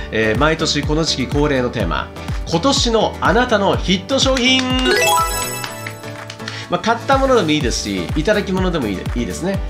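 A man's fairly quick speech runs over clear music in the background. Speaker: radio DJ and wedding MC. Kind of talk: radio host talk, post-show recap. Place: home room. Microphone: lapel.

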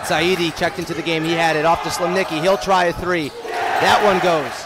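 Despite the fairly quick pace, there are long, frequent pauses, with loud background noise and a dry sound with no echo. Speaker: play-by-play announcer. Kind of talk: live basketball play-by-play commentary. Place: hall.

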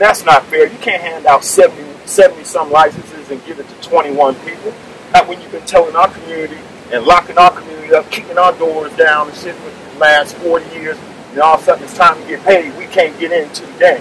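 Over noticeable background noise, a man with an American accent talks at a fairly quick pace in a high pitch, his loudness swinging widely, in a dry sound with no echo. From US Midwest. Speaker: rally leader, retired politician. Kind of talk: rally speech. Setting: outdoors. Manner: animated. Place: street. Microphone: podium.

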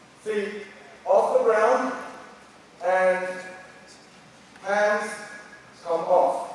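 A man's high-pitched voice at a very slow pace, with strong room echo

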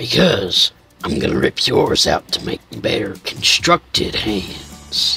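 Faint music plays in the background as a man talks at a fairly slow pace. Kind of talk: comic overacting. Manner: mocking, menacing, swaggering.

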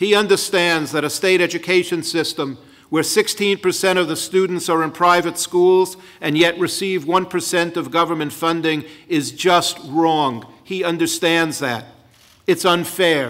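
A man's high-pitched voice, fairly slow and fairly even in intonation, over a quiet background. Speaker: rally organizer introducing the governor. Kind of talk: rally speech, opening address. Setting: stage with audience. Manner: earnest, emphatic, rhetorical. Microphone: podium.

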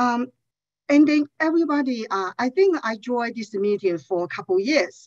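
Her delivery is fairly slow. The woman's pitch rises and falls very widely. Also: quiet background. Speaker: nonprofit outreach director. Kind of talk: public testimony. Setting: video call. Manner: halting, many fillers. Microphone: headset.

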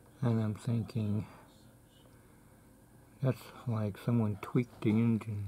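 Over light background noise, a man speaks in a fairly low, somewhat breathy voice with a dark, mellow tone and fairly even intonation. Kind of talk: casual vlog chat. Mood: reminiscing, calm. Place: home room. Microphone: phone near.

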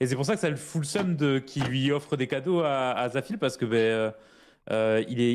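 On a very clean recording with a silent background, a man talks at a moderate pace in a plain, everyday voice, medium in pitch with lively intonation. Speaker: fellow gamer. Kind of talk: casual gaming roleplay chat.

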